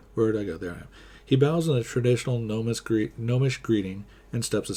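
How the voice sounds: The voice heard here reads naturally.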